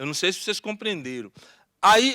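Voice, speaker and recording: A raised, projected voice with a bright, sharp tone comes through dry and close, with no echo. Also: man. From Brazil, Salvador (Bahia), Curuzu neighborhood. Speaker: activist panelist. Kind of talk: panel talk.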